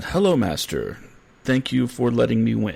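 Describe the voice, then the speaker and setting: At a moderate pace, a man puts on a character voice. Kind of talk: formal. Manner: subservient, thankful.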